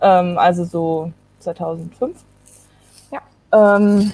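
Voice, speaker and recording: A woman's dark, mellow tone. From Germany, Kassel (northern Hesse). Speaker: Olympic canoe sprinter. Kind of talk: casual interview.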